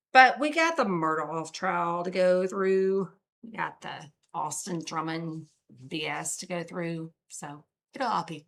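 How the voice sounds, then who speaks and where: Over a very clean recording with a silent background, a woman with a Southern US accent speaks at a very slow pace with big swings in loudness. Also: fairly low pitch for a woman, ordinary pitch variation. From US South. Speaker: true crime streamer. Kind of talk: casual live stream chat. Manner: casual, chatty.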